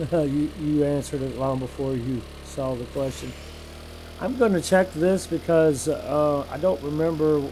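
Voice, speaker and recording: At a moderate pace, a man with a fairly high voice and ordinary pitch variation talks over noticeable background noise. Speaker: video game streamer. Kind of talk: live gameplay commentary. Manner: casual, chatty.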